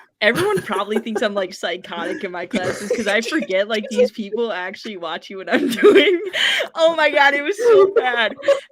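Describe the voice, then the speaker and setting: Amid noticeable background noise, a woman with an American accent speaks at a fairly quick pace in an animated tone, her fairly high pitch swinging very widely and her loudness shifting greatly. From Wisconsin. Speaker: social media personality. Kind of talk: casual chat.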